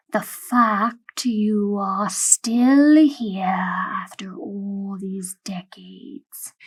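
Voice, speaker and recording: Very slowly, a female-sounding put-on character voice speaks at a medium pitch. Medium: read story. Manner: formal, measured.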